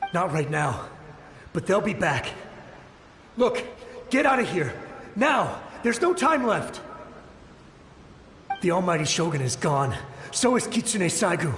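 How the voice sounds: With big pitch swings and long, frequent pauses, a man uses a put-on character voice at a high pitch and a slow pace. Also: fairly bright tone.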